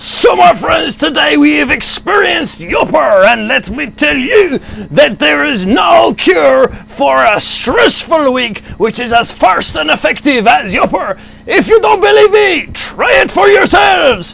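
A man shouts in a cartoonish character voice at an extremely high pitch, at a fairly slow pace, with light background noise. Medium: puppet. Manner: theatrical, playful.

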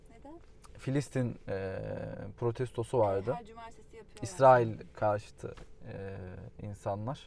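There is light background noise, and the sound is dry with no echo. The man talking keeps a moderate pace. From Turkey. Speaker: travel vlogger. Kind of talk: casual vlog narration. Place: car. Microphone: lapel.

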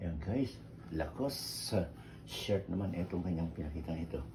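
With noticeable background noise and audible room echo, a man with a very deep, low voice speaks at a moderate pace with ordinary pitch variation. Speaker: vlogger. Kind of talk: unboxing video. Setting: at home. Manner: halting.

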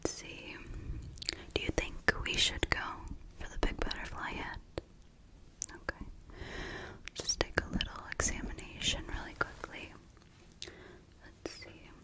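A woman whispers, soft-spoken, at a fairly slow pace with long, frequent pauses. Loud noise fills the background. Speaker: ASMR creator. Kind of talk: soft ASMR roleplay talk. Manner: soft, close ASMR whisper. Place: home room. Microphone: studio mic.

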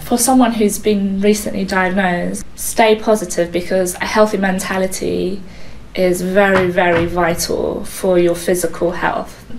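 Noticeable background noise sits behind a woman at a medium pitch. She talks at a fairly slow pace with fairly even intonation. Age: 20s. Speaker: student and patient sharing her experience. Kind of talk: personal testimony.

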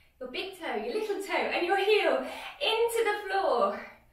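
Fairly slow female speech, audible echo from the room around it. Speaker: fitness instructor. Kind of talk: workout instruction. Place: home room. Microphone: camera far.

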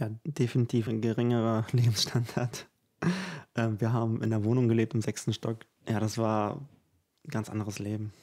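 Against a quiet background, a man with a dark, mellow tone speaks at a moderate pace in a monotone, flat intonation, with big swings in loudness. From Ukraine. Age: 20s. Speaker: composer and singer; guest. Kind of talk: interview conversation. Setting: at his home. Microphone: studio mic.

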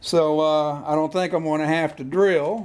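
Taking his time, a man talks at a fairly slow pace. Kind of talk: tutorial. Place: garage. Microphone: camera far.

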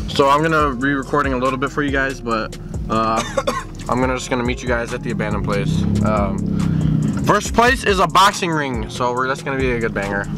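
Clear music plays in the background as a man speaks at a very fast pace. The sound is dry, with no echo. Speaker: vlogger in passenger seat. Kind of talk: casual vlog chat. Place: car. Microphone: phone near.

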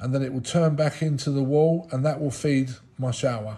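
Against light background noise, a man with a somewhat breathy voice speaks at a moderate pace. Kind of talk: casual DIY walkthrough. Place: home room. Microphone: phone near.

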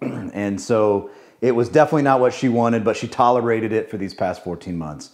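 A man's fairly quick speech with ordinary pitch variation over a quiet background. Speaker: homeowner reviewing a TV. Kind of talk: casual vlog chat. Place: home room.

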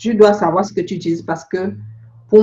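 With a somewhat breathy sound, a woman speaks at a medium pitch and ordinary pitch variation. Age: 40s. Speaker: beauty product seller and skin consultant. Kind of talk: phone consultation. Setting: phone call.

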